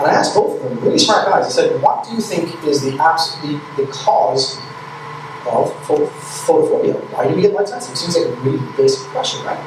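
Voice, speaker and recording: Audible room echo and noticeable background noise accompany a man talking at a fairly quick pace. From Ireland. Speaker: eye care clinician. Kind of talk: conference lecture. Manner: animated.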